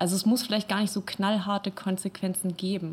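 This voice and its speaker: A woman speaks at a moderate pace with a medium pitch. Her voice is somewhat breathy, and her intonation is monotone and flat. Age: 20s. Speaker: art school student. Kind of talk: casual chat. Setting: studio.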